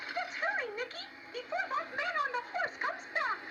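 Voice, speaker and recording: This put-on character voice is squeaky and pitched extremely high. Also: moderate pace. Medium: read story.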